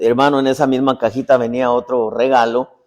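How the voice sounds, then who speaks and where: Here is a man with an unremarkable speaking voice. He talks at a moderate pace. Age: 60s. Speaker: apostle and preacher. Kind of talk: sermon. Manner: conversational, repetitive storytelling.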